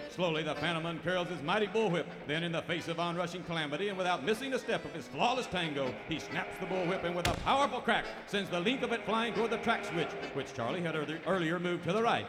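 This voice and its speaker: Speaking very fast in a high pitch with lively intonation, a man is heard over noticeable background noise. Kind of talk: radio theater narration. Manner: dramatic, animated announcer delivery, tongue-in-cheek; formal, brisk, old-time serial narrator.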